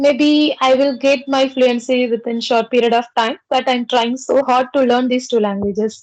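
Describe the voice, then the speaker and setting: Hardly pausing, a woman with a Tamil accent speaks at a high pitch in a flat, monotone way. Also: moderate pace, very even loudness. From South India, Pondicherry. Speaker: English conversation practice host. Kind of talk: casual chat.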